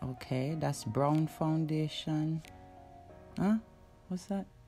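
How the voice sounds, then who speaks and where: A woman with a Jamaican accent in an amused tone, at a very slow pace, with music in the background. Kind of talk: casual voiceover commentary on a makeup video. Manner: unsure, amused.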